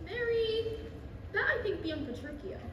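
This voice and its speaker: In a put-on character voice, a woman squeaks at an extremely high pitch and moderate pace, with a clear echo and loud background noise. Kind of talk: student Shakespeare stage acting. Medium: stage play.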